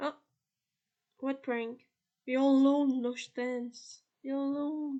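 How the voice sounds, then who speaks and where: A woman speaks at a high pitch. Her speech has long, frequent pauses. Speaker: gaming YouTuber. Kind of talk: gameplay commentary. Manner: animated.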